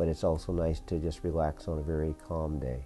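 The pace is moderate. A man is talking while music plays faintly behind him. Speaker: sailing class instructor. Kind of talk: interview answer. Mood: relaxed, friendly. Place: office. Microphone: lapel.

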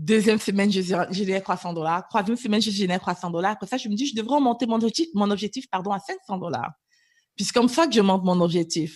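An ordinary speaking voice comes from a woman at a medium pitch, talking at a fairly quick pace with lively intonation. The background is quiet. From Cameroon, moved to Canada at 11. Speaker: business coach. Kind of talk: interview.

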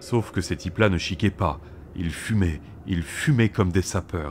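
The speech comes at a moderate pace with fairly even intonation. The recording is very clean, with a silent background. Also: man. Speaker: audiobook narrator. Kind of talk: literary audiobook reading, third-person narration. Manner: expressive storytelling, voicing tense and dreamy moments.

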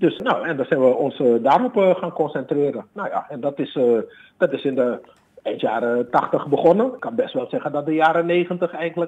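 A man speaks with a high voice. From Suriname, Paramaribo, moved to Amsterdam at 12. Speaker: bassist and bandleader. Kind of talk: interview. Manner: hesitant with many fillers.

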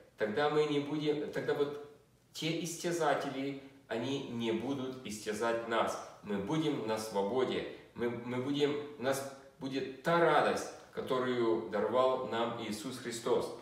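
In a room with audible echo, a man at a medium pitch talks at a fairly slow pace with ordinary pitch variation. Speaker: preacher. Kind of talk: fervent prayer, addressing God with earnest pleading; sermon on scripture. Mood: fervent prayer, eyes closed. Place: home room. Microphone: phone near.

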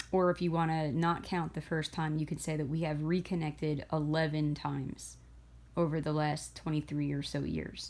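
The woman's voice is very deep and low, and her intonation is monotone and flat. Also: moderate pace. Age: 40s. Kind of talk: personal testimony monologue. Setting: recorded alone on camera. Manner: hesitant, with fillers.

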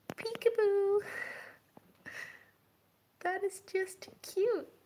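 A woman speaks in a soft-spoken way. Light background noise can be heard. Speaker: role-play vlogger. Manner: soft, gentle ASMR voice to tiny person. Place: home room. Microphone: phone near.

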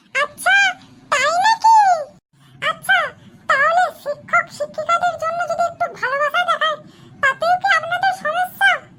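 A woman puts on a cartoonish character voice at an extremely high pitch. She swings her pitch very widely and keeps a moderate pace. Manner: gentle, friendly.

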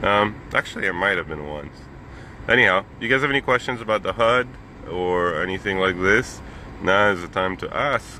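With light background noise and a dry sound with no echo, a man talks at a moderate pace. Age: 30s. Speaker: business jet pilot and vlogger; vlogger. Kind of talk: live stream chat from the cockpit. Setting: cockpit of a parked jet, live video. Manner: casual with many fillers. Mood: grateful, upbeat. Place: plane. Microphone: phone near.

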